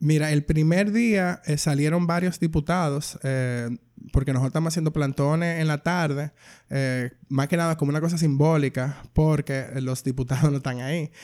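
A man with an ordinary speaking voice talks at a moderate pace. His pitch is fairly high and his intonation fairly even. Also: very clean recording, silent background. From Dominican Republic. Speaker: filmmaker and queer activist. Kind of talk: casual interview.

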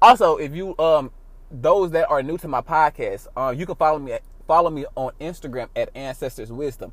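This man has a plain, everyday voice, fairly high in pitch with ordinary pitch variation, moving at a fairly quick pace with big swings in loudness. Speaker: podcast host. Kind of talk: casual chat. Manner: casual, profane, joking.

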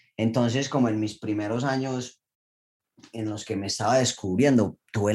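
A plain, everyday voice, a man's at a medium pitch, moves at a moderate pace with fairly even intonation on a very clean recording with a silent background. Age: 20s. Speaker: Olympic diver. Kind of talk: interview.

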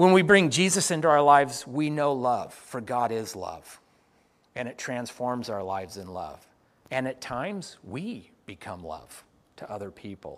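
In a very clean recording with a silent background, a man speaks slowly at medium pitch, his pitch swinging very widely and his loudness shifting a lot. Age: 50s. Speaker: pastor. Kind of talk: sermon.

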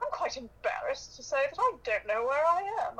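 This is a put-on character voice with a British accent, pitched extremely high. It runs at a fairly quick pace.

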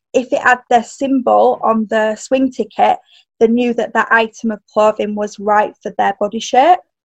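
A woman with a Yorkshire accent, fairly high in pitch, at a moderate pace and with ordinary pitch variation. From northern England. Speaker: personal stylist and coach. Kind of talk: casual interview chat.

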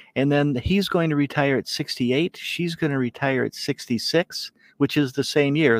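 A man's fairly high voice, an unremarkable speaking voice, at a moderate pace with fairly even intonation and a dry, close sound with no echo. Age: 60s. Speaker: financial planner. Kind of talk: interview walking through software reports.

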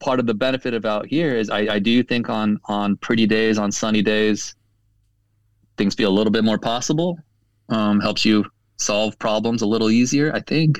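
A man with an American accent talks at a moderate pace in a fairly low pitch, in an ordinary speaking voice. The recording is very clean, with a silent background and a dry, close sound with no echo. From southern California. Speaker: advertising creative director. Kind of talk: interview.

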